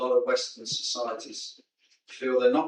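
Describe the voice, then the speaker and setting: A man with a British accent at a moderate pace. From UK. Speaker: military veteran, audience member. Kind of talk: audience question. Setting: conference hall with audience.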